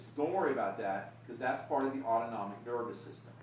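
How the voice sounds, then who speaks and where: This man uses a normal speaking voice at medium pitch with fairly even intonation. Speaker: anatomy professor. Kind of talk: lecture.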